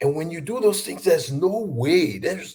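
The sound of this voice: At a moderate pace, a man speaks with a fairly high pitch, ordinary pitch variation and a dark, mellow tone.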